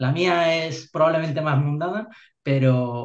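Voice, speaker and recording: A man, somewhat breathy, at a moderate pace with ordinary pitch variation. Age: 40s. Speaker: army officer. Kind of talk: interview. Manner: halting, many repeated words.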